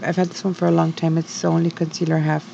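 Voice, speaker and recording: A woman speaks quietly. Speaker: beauty vlogger. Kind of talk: get ready with me voiceover. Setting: home at night. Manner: quiet, low voice; hesitant, many fillers.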